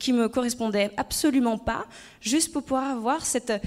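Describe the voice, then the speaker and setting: A woman's high-pitched voice at a moderate pace, with ordinary pitch variation, on a very clean recording with a silent background. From France, Haute-Savoie. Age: 30s. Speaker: former actress and public speaker. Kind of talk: conference talk. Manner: hesitant, many fillers.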